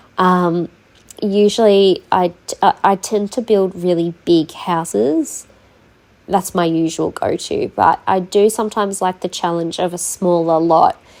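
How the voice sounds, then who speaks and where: In an Australian accent, a woman speaks at medium pitch and a fairly slow pace. Her intonation stays fairly even on a very clean recording with a silent background. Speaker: gaming YouTuber. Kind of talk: tutorial. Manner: hesitant, many fillers.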